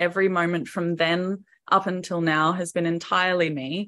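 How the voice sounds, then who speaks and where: A medium-pitched woman's voice with an Australian accent and fairly even intonation, over a quiet background. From Queensland, Australia. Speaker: singer-songwriter and videographer. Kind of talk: interview.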